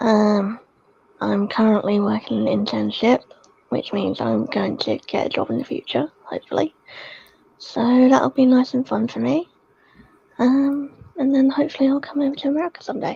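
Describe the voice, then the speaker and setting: A woman talks quietly with a British accent at a moderate pace. She leaves long, frequent pauses. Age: young. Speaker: livestream guest. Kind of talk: casual chat. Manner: quiet, hushed.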